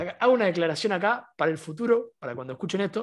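Against a quiet background, a man with a Rioplatense accent speaks very fast at a high pitch, his voice swinging very widely in pitch. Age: 20s. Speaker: podcast co-host, university student. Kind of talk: casual chat.

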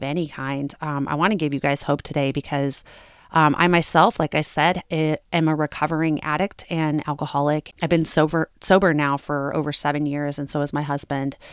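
At a moderate pace, the speech comes through as a very clean recording with a silent background and a dry, close sound with no echo. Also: woman. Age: 40s. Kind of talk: solo podcast monologue with personal testimony. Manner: casual, with frequent filler words.

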